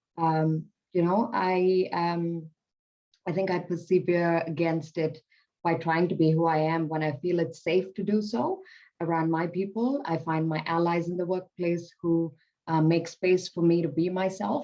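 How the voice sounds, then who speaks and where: Her voice is fairly low with a dark, mellow tone. This woman speaks at a fairly slow pace with fairly even intonation. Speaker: public sector worker, panelist. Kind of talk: panel discussion.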